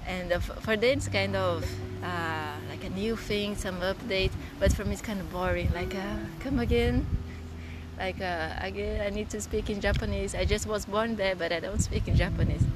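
Moderate pace from a woman, with noticeable background noise. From Brazil, São Paulo countryside. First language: Portuguese. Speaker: photographer. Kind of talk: casual interview chat. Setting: outdoors by the ocean, windy.

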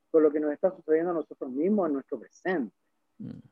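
A man is speaking. He talks at a very fast pace. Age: 70s. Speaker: novelist. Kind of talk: interview. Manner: halting.

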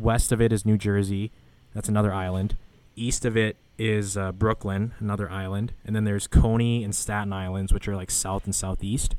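At a moderate pace, a man with a Canadian accent speaks with a fairly low pitch. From Canada. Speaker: podcast host. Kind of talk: casual monologue. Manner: animated.

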